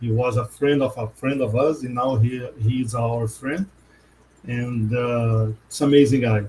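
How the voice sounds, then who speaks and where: In a Portuguese accent, a man speaks fairly slowly with fairly even intonation and a dark, mellow, somewhat breathy tone. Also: medium pitch for a man. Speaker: podcast host. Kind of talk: casual interview.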